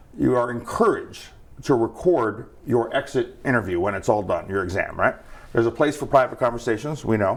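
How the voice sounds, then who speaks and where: A man speaks at a fairly quick pace in an animated tone, his medium pitch showing ordinary variation. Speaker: federal regulator, board member. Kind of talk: interview. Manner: fast; conversational, animated.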